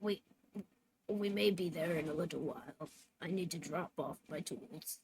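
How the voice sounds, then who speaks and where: A raspy put-on character voice comes from a woman at a fairly low pitch and a moderate pace. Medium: actual play.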